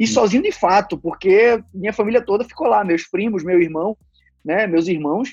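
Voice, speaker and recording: Speaking in a high pitch, a man shows ordinary pitch variation. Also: moderate pace. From Brazil, Recife (Pernambuco). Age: 20s. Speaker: bank employee. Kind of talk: casual interview.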